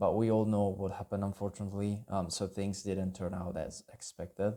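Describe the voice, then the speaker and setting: A dark, mellow tone at a fairly quick pace, with flat, monotone intonation. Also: man, fairly low pitch for a man. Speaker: YouTuber, would-be language student. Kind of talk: personal video message. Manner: unscripted, halting with fillers.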